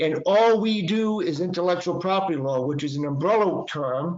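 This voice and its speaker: A high-pitched man's voice with a Boston accent. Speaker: patent and trademark attorney. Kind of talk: webinar presentation. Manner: halting, many fillers.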